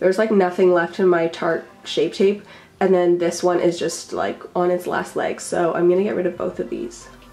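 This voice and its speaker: A woman talks in a fairly low, flat monotone. Noticeable background noise runs beneath her. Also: moderate pace. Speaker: beauty youtuber. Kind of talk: casual vlog tutorial.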